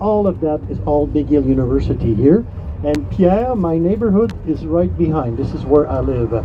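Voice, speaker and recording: Over music in the background, a man with a Quebec accent talks at a moderate pace with fairly high pitch and very wide pitch swings. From Quebec, Montreal. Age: 60s. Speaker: tour guide. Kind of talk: guided tour commentary. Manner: animated.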